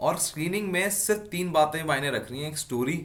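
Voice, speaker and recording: A man with lively intonation talks, and the room's echo is audible. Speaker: defence exam coach and YouTuber. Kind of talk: casual interview.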